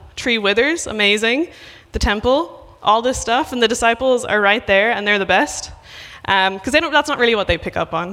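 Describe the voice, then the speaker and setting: At a fairly quick pace, a woman talks with lively intonation and a fairly high pitch. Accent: Irish. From west of Ireland. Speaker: missionary preacher. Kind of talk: sermon. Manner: casual with many fillers.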